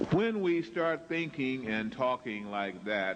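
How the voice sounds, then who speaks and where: A man at a fairly slow pace, with ordinary pitch variation. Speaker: lecturer. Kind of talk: lecture.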